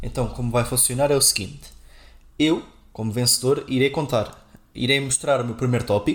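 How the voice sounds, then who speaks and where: With long, frequent pauses, a man speaks in a somewhat breathy, medium-pitched voice with fairly even intonation. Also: fairly quick pace. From Portugal, Castelo Branco. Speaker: software engineer, podcast co-host. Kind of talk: casual chat.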